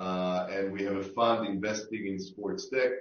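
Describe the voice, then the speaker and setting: Speaking at a fairly slow pace, a man with an Israeli accent keeps a monotone, flat intonation. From Israel, Tel Aviv. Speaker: sports tech investor. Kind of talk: panel discussion. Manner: halting, many fillers.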